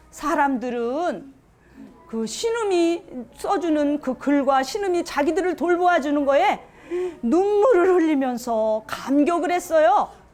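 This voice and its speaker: Through noticeable background noise, a woman with a high pitch speaks at a very slow pace in a warm tone. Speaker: storytelling grandmother, volunteer storyteller for children. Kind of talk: folk tale narration to children. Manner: warm, expressive, childlike storyteller delivery.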